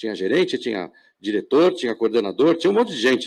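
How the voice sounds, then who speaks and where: On a very clean recording with a silent background, a man's voice is heard. His pitch swings very widely. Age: 60s. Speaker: panel moderator. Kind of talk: panel discussion. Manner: halting, many repetitions.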